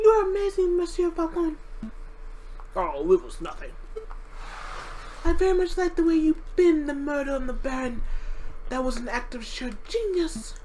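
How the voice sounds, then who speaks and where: Using a put-on character voice at an extremely high pitch, a woman speaks at a moderate pace with long, frequent pauses over clear background noise. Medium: fan dub.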